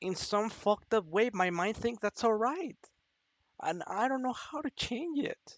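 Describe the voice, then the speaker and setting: A woman with a non-native accent, fairly high pitch, lively intonation, and a fairly slow pace. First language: not English. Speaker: vlogger. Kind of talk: personal confession monologue. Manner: halting.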